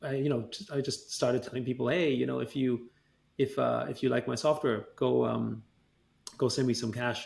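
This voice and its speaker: This man has a German accent. He talks at a moderate pace. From Austria, Vienna. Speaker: tech entrepreneur. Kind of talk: interview. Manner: halting, many fillers.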